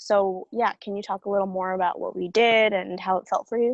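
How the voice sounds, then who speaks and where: A woman has a plain, everyday voice at a medium pitch with ordinary pitch variation. The recording is dry and close, with no echo. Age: 20s. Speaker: actor. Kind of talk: casual chat.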